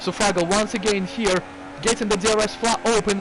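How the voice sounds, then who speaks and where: A man speaks at a moderate pace in a high pitch, with noticeable background noise behind him. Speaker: sim racing commentator. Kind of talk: live commentary. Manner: animated.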